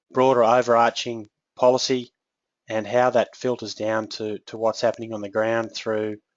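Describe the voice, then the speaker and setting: A man with an Australian accent and monotone, flat intonation. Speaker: agricultural technical specialist. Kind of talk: webinar presentation. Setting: online webinar.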